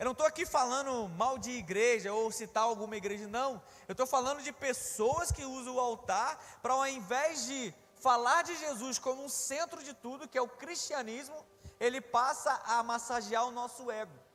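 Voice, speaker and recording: A man with an extremely high pitch talks in an animated tone at a moderate pace, with ordinary pitch variation and noticeable background noise. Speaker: preacher. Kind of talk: sermon.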